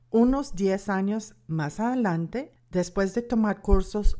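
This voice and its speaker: Speaking with an American accent, a woman has a dark, mellow tone. Her intonation is lively and her pace very slow. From United States. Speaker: Bible course instructor and author. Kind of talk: lecture.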